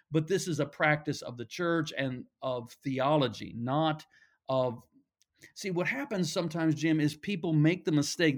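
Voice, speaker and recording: In a very clean recording with a silent background, a man speaks in a normal speaking voice, fairly high in pitch, at a moderate pace with ordinary pitch variation. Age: 60s. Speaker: pastor and author. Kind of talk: interview conversation.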